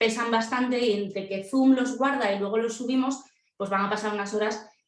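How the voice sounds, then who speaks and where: A high-pitched woman at a fairly quick pace, animated in tone, with audible room echo. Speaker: celiac education presenter. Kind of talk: live webinar presentation. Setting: video call. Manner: fast.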